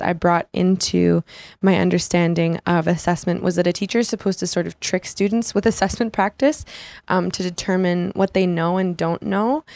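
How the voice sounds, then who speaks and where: A plain, everyday voice with an American accent moves at a fairly quick pace with ordinary pitch variation. The recording is very clean and dry, close with no echo, over a silent background. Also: woman. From United States. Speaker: student teacher. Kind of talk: prepared reflection.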